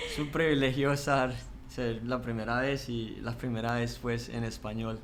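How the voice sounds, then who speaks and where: Monotone, flat delivery in a Colombian accent at a fairly slow pace, with audible room echo and noticeable background noise. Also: man, medium pitch for a man. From Colombia, Pereira (coffee region). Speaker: seminary student. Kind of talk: interview.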